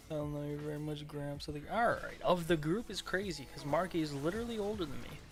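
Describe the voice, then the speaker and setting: The speech comes at a very fast pace with hardly any pauses. Music plays in the background. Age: 20s. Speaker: gaming streamer. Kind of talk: casual chat. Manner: animated.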